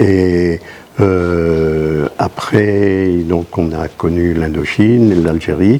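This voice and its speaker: Very deep and low, a man's voice moves at a very slow pace over noticeable background noise. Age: 80s+. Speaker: war veteran. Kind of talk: interview. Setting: on location at a school exhibition. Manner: halting.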